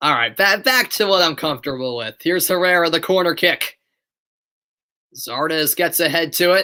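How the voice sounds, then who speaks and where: With an American accent, a man speaks in a high, bright, sharp voice at a moderate pace, his intonation lively, on a very clean recording with a silent background. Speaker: amateur live sports commentator. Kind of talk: live play-by-play commentary; casual chat with live viewers. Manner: animated.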